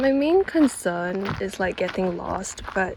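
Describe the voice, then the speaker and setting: A woman's medium-pitched voice at a very slow pace, with noticeable background noise. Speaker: vlogger. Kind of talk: travel vlog. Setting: outdoors. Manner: casual, chatty.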